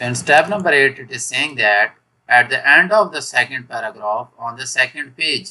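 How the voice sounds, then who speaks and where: With a bright, sharp tone, a man talks at a fairly slow pace. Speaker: software tutorial maker. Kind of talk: tutorial. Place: home room.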